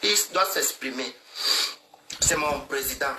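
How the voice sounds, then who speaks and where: There is noticeable background noise. Through it, a man speaks with lively intonation. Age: 60s. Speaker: social media live streamer. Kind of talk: heated live-stream rant. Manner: animated.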